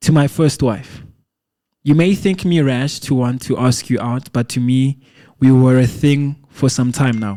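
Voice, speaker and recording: In a Lesotho accent, the speaker talks at a fairly slow pace with a dark, mellow tone and fairly even intonation. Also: man. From South Africa. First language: Sesotho. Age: 20s. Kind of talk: poetry reading.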